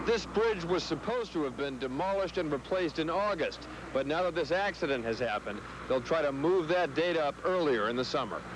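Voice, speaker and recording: Fairly high in pitch, a man talks at a fairly quick pace in a dry sound with no echo, noticeable background noise behind him. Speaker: TV field reporter. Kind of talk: live news report. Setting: outdoors.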